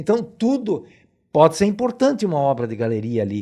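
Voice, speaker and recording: Against a quiet background, a man with a fairly high pitch and a dark, mellow tone talks at a fairly quick pace, his pitch swinging very widely. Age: 70s. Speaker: geologist and professor. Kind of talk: interview. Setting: studio.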